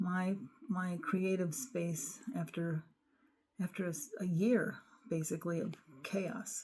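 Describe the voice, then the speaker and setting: A woman speaks at a very slow pace with long, frequent pauses, her voice somewhat breathy and her pitch varying in an ordinary way. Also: medium pitch for a woman. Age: 60s. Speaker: craft and journaling vlogger. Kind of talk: room tour vlog. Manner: animated.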